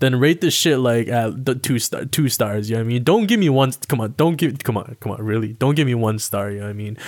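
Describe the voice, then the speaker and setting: A man with a Toronto accent at a very fast pace and medium pitch, with ordinary pitch variation and hardly any pauses, in a very clean recording with a silent background. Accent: Toronto urban Canadian English. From Toronto, Canada. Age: 20s. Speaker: podcast host. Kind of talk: casual monologue. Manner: casual, filler-heavy.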